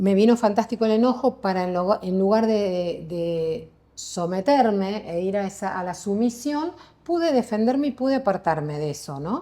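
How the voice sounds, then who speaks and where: Over a silent background in a very clean recording, a woman speaks with a dark, mellow tone and lively intonation. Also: medium pitch for a woman, moderate pace. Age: 60s. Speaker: psychologist and meditation teacher. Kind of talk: interview conversation.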